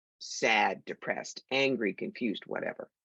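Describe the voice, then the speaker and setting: A woman with an American accent, vocal fry, and a moderate pace. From New York. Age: 60s. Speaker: psychic medium and teacher. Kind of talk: podcast interview.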